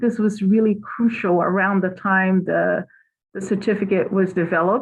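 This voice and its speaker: A woman speaks with a Portuguese accent at a moderate pace. Her voice is somewhat breathy, medium in pitch, with fairly even intonation. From Brazil. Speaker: psychology professor. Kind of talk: academic presentation.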